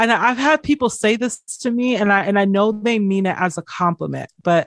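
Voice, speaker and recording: A woman with an American accent has an ordinary speaking voice at a medium pitch, with ordinary pitch variation. The sound is dry and close with no echo, over a quiet background. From Georgia, US. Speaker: artist and writer. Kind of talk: interview.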